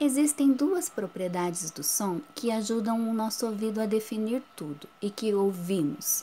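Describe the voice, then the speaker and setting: Fairly slow delivery with lively intonation, hardly any pauses, and noticeable background noise. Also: woman, fairly high pitch for a woman. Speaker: schoolteacher. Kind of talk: recorded lesson for children. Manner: whispers briefly as a demonstration.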